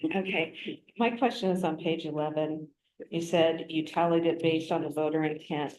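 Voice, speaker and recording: The intonation stays fairly even. The speaker talks at a moderate pace. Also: woman. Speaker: board member. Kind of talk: questioning at meeting.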